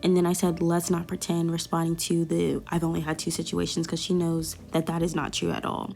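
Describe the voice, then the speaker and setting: A woman's fairly low voice with an American accent, at a fairly quick pace with hardly any pauses, over music in the background. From US South. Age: 20s. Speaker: YouTuber. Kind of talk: storytime. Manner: animated.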